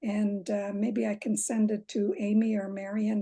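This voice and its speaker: A woman's somewhat breathy voice has a dark, mellow tone and a monotone, flat intonation. The sound is dry and close with no echo, over a quiet background. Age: 60s. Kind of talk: audience Q&A. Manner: halting.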